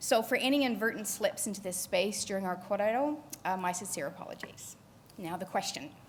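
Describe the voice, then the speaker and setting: Audible room echo surrounds a somewhat breathy voice with a Canadian accent and lively intonation. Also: woman. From Canada. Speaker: conservation geneticist. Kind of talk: conference panel talk. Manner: fast.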